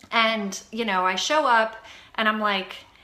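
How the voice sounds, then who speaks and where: Her tone is bright and sharp. The woman's voice is raised and projected. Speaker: fitness coach. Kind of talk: live video chat. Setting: home live stream. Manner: animated. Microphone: Wi-Fi issues.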